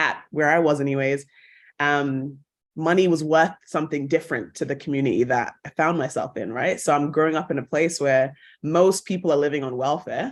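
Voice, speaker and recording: In a quiet background, a woman with a British accent speaks fairly quickly. Her pitch is very deep and low, with ordinary pitch variation. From England. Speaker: actress and broadcaster. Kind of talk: podcast interview.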